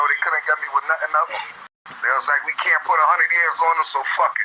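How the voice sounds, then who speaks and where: A man with an American accent talking fairly quickly over noticeable background noise. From Southside Queens, New York. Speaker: interviewee, street figure. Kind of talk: interview.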